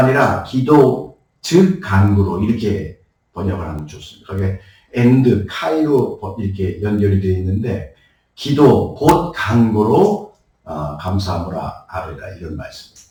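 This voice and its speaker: Speaking at a fairly slow pace, a somewhat breathy man makes very wide pitch swings and big swings in loudness. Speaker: pastor. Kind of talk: sermon.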